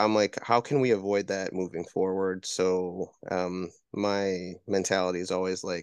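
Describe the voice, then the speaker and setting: Here a man speaks with an American accent in a very deep, low pitch. The background is quiet. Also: dry, close sound with no echo. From Wisconsin. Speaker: comic book writer. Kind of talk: casual interview chat. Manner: halting, many fillers.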